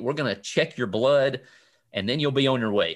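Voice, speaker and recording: A man with a Southern US accent is heard in a very clean recording with a silent background. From US South. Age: 40s. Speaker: cancer survivor. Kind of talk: interview. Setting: home basement.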